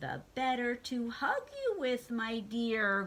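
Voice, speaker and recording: Over clear background noise, a woman uses a put-on character voice at a high pitch. She speaks at a very slow pace. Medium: read story. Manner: growling.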